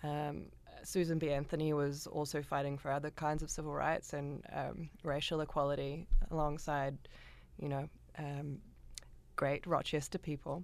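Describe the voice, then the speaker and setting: A woman with a New Zealand accent and a very deep, low voice, monotone and flat, at a moderate pace with long, frequent pauses. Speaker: composer. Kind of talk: interview. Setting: studio.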